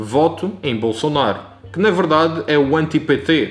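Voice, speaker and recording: Music plays in the background. A man with a Madeiran accent speaks at a fairly slow pace. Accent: European Portuguese, Madeiran. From Madeira, Portugal. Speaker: vlogger. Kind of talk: documentary-style political commentary narration.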